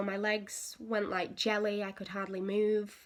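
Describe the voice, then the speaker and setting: A woman with an English accent at a very slow pace. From England. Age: 20s. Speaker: patient sharing medical experience. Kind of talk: casual talk to camera. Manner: hesitant, with frequent fillers.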